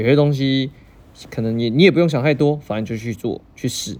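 Here a man talks at a moderate pace, his medium-pitched voice dark and mellow with ordinary pitch variation. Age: 30s. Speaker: podcast host. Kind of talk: casual solo podcast monologue.

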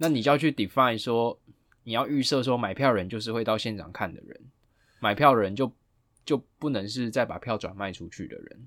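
In a very clean recording with a silent background, a man speaks in a plain, everyday voice at a medium pitch, with ordinary pitch variation and big swings in loudness. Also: fairly quick pace. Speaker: lawyer podcast host. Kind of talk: casual legal discussion.

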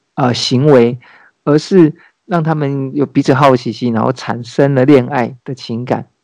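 A man's fairly high, dark and mellow voice at a very slow pace, with ordinary pitch variation. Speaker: podcast host. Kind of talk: casual chat.

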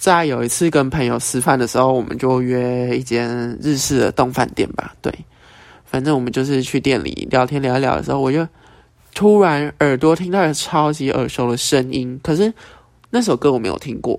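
A man speaks at a moderate pace in an unremarkable speaking voice, with medium pitch and ordinary pitch variation. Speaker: podcast host. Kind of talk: casual monologue. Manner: casual, filler-heavy.

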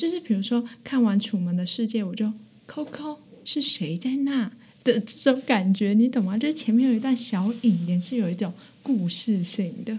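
Lively intonation at a moderate pace. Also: woman, fairly high pitch for a woman. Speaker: university student podcaster. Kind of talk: casual chat. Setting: small room in a library.

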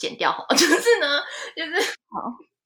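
With a bright, sharp tone, a woman projects a raised voice at a moderate pace, her intonation lively. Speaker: fashion industry worker in Japan. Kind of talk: casual interview chat. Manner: animated.

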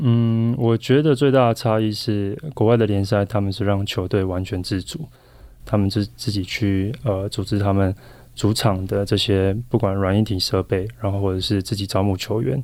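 A man speaks in an ordinary speaking voice, fairly low in pitch, at a moderate pace with ordinary pitch variation. The recording is very clean, with a silent background. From Taiwan. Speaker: professional volleyball player. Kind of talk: interview.

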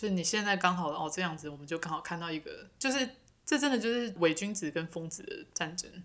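Talking at a very fast pace with a Taiwanese accent, the speaker uses lively intonation and big swings in loudness. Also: woman, fairly low pitch for a woman. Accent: Taiwanese Mandarin. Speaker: podcast co-host. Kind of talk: casual chat.

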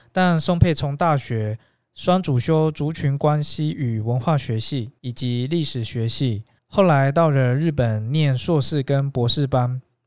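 A man with an unremarkable speaking voice talks at a fairly slow pace in a fairly high pitch, with ordinary pitch variation. The recording is very clean, with a silent background. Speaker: podcast host. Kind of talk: interview. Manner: formal.

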